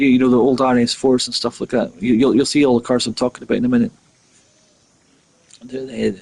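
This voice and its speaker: A man with a Scottish Highland accent speaks very fast at medium pitch with fairly even intonation, broken by long, frequent pauses. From Scotland. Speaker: gaming streamer. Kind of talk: live gameplay commentary. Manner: halting, with many fillers and repeats.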